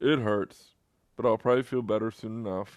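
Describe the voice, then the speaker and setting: A put-on character voice at a fairly quick pace over a quiet background. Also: man, medium pitch for a man. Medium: read story.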